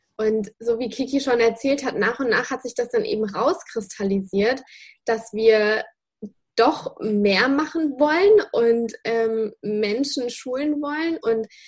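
At a very slow pace, a woman speaks in a high pitch with lively intonation. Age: 20s. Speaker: dog trainer and online dog school founder. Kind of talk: interview.

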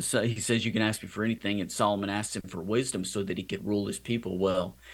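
The recording is very clean, with a silent background. A man talks at a fairly quick pace. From Louisiana and Texas, US South. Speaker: film director and Marine veteran. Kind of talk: interview. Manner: halting with fillers.

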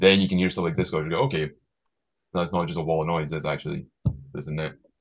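At a very fast pace, a man speaks with a very deep, low pitch and vocal fry. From Scotland. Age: 30s. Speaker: band member. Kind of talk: casual chat.

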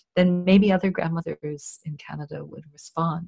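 A woman speaks at a moderate pace in a dark, mellow, somewhat breathy voice with fairly even intonation. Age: 50s. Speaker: charity executive director. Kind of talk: interview.

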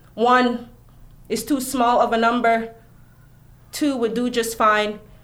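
In an American accent, a woman speaks with a fairly high pitch and monotone, flat intonation. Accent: Jamaican-born, sounds American. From Jamaica. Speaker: poet. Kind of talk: poetry reading.

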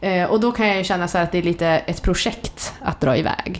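A woman speaks with a fairly low pitch. Noticeable background noise runs beneath her voice. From Sweden, Jämtland (Vemdalen). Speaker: entrepreneur. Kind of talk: casual interview. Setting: kitchen at home, near a road.

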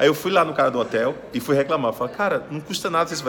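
Over noticeable background noise, a man speaks very fast in a fairly high pitch with lively intonation. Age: 40s. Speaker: sales speaker and podcast host. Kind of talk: interview. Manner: animated.

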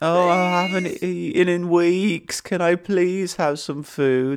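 A man's whiny, high-pitched put-on character voice with a whiny tone, fairly even intonation and a fairly slow pace.

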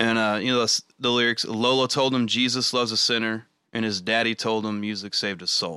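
A man with a Southern US accent speaks at a moderate pace in a medium pitch, his intonation fairly even. His tone is bright and sharp, and the recording is very clean with a silent background. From Arkansas, US South. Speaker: podcast host. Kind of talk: casual chat.

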